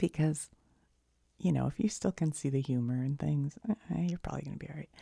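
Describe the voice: A fast-talking woman's low, dark and mellow voice with an American accent, a slightly husky edge, vocal fry and ordinary pitch variation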